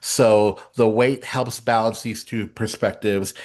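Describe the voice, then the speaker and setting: At a fairly slow pace over a quiet background, a man talks at medium pitch in an unremarkable speaking voice. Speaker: president of theatre awards council. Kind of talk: town hall presentation. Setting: meeting room with audience.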